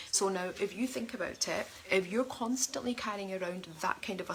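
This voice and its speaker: A woman talks at a fairly quick pace. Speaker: life coach. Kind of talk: online coaching talk. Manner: fast; animated.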